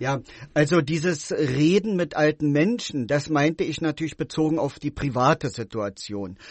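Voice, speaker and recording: This man speaks at a moderate pace with lively intonation and a fairly high pitch. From East Berlin. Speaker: author and contemporary witness. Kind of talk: radio interview. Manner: hesitant, many fillers.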